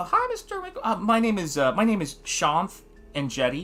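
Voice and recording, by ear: In a squeaky, put-on character voice pitched high for a man, he speaks at a moderate pace with faint music behind him.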